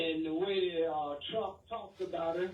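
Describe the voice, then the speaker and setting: A man at a moderate pace, with audible room echo. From Alabama, US South (Tuscaloosa). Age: 70s. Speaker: radio caller. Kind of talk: call-in opinion. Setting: phone call.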